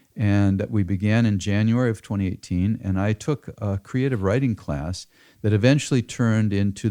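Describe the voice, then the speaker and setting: A man speaks in a fairly low pitch with a dark, mellow tone. His pitch varies in an ordinary way. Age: 70s. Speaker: farmer. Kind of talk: interview. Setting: home office.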